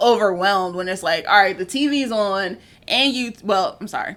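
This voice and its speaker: Loud and animated, a woman with a fairly high pitch and a bright, sharp tone talks at a moderate pace with lively intonation. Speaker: podcast host. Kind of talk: casual chat.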